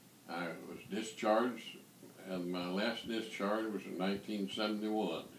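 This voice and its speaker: Over noticeable background noise and audible room echo, a man with an American accent speaks in a fairly low pitch with fairly even intonation. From eastern Kentucky / West Virginia border. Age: 80s+. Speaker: war veteran. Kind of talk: interview.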